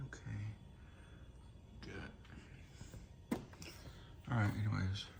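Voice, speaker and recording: The quiet voice comes with long, frequent pauses against noticeable background noise. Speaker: appliance reviewer. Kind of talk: casual product demo. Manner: hushed, quiet.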